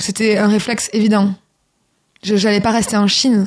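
The voice is somewhat breathy, with a southern French accent. It moves at a fairly quick pace with monotone, flat intonation. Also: woman. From southern France, Toulouse. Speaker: singer and author. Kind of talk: radio interview. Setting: radio studio.

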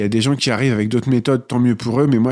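Recorded very cleanly against a silent background, a man talks with monotone, flat intonation. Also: dry, close sound with no echo. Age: 30s. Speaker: nursing assistant and author. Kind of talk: interview testimony.

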